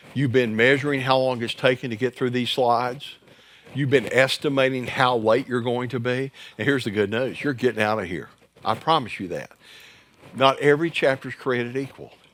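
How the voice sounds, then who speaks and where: Speaking in a normal speaking voice, a man keeps a medium pitch and fairly even intonation at a fairly quick pace. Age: 60s. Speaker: church growth trainer for pastors. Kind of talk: workshop presentation. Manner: conversational, joking.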